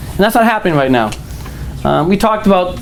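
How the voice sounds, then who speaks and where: A man with an American accent talks in a high pitch. Noticeable background noise and audible room echo fill the recording. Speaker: political candidate. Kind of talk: campaign speech. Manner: animated.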